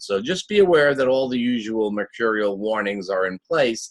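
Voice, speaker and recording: With ordinary pitch variation, a man talks at a medium pitch and a moderate pace. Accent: Long Island. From Long Island, New York. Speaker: astrologer. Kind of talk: weekly forecast monologue. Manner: casual, with many fillers.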